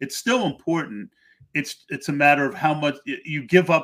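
An unremarkable speaking voice from a man, fairly high-pitched, at a moderate pace with an American accent. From Pennsylvania. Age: 60s. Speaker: podcast host. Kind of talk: casual chat.

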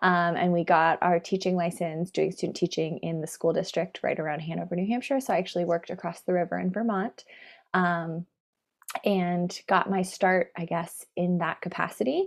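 A woman with an American accent at a fairly low pitch and moderate pace, fairly even in intonation, against a quiet background. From San Francisco, US. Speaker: psychology PhD student and former teacher. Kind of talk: casual interview.

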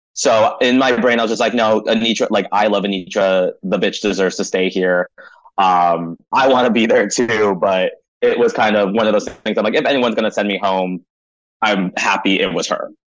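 A normal speaking voice from a man, fairly low in pitch, at a moderate pace with very even loudness. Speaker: drag performer. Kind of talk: interview. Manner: casual, filler-heavy.

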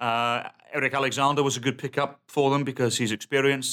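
A man in a British accent speaks with fairly even intonation. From England. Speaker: soccer podcast co-host. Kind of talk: casual chat.

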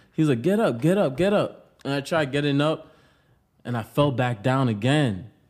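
A man with an American accent speaks at a moderate pace. His fairly high voice has lively intonation. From Pawtucket, Rhode Island, US. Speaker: rapper. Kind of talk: casual interview. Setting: studio.

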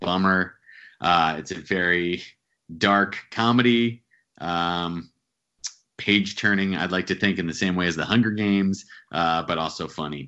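A man with an American accent and a very deep, low pitch speaks with fairly even intonation and long, frequent pauses. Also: fairly slow pace. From central New Jersey. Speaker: author and actor. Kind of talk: casual interview.

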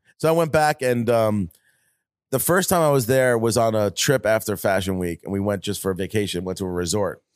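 With an American accent, a man speaks at a fairly quick pace and a fairly low pitch with lively intonation, on a very clean recording with a silent background and a dry, close sound with no echo. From Long Island, New York. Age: 40s. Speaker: designer and entrepreneur. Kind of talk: casual chat.

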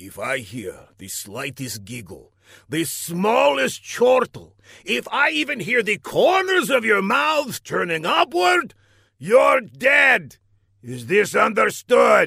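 Growling in a put-on character voice, a man speaks at a fairly slow pace with a high pitch. His loudness swings widely. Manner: snarling, menacing, pompous.

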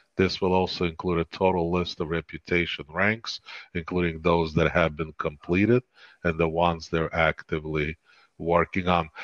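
The background stays quiet. Intonation is monotone and flat throughout. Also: man, very deep, low pitch for a man, moderate pace, dry, close sound with no echo. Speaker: podcast co-host. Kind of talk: casual chat.

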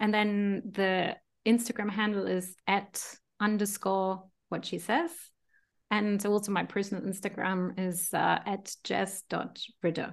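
Against a quiet background, a woman with a plain, everyday voice speaks at a medium pitch and a fairly slow pace with fairly even intonation. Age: 40s. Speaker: voice-over artist and former journalist. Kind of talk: casual chat.

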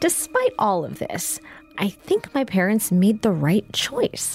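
A woman speaks at a fairly slow pace, somewhat breathy, with very wide pitch swings and a dry, close sound with no echo. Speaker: entertainment reporter and podcast host. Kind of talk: casual interview chat.

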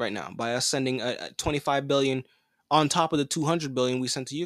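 Someone speaks at a very fast pace in a very clean recording with a silent background. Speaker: podcast host. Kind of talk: angry political rant; opinionated news commentary. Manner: indignant, emphatic, forceful; conversational, laughs often, repeats himself.

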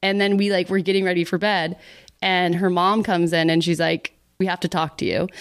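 A woman with an American accent speaks at a moderate pace and a fairly low pitch, her intonation monotone and flat. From Texas, Dallas. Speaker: YouTuber and director. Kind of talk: casual chat.

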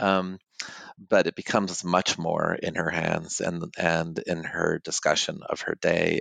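The speech comes at a very slow pace, captured with a dry, close sound and no echo. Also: man. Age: 50s. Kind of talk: interview. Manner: halting, many fillers.

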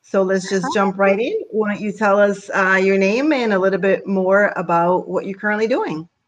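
A woman with a normal speaking voice talks at a moderate pace and medium pitch. Her intonation is fairly even, and she hardly pauses. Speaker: podcast host and life coach. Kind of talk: scripted intro and casual interview.

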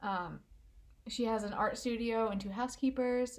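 A woman's somewhat breathy voice with fairly even intonation, at a moderate pace. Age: 20s. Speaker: true crime podcast co-host. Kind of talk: casual chat, narrating a crime case.

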